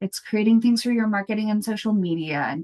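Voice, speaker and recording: Her voice sits at a medium pitch for a woman and moves with ordinary pitch variation. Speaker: food rescue coordinator and consultant. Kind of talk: conference presentation. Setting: conference.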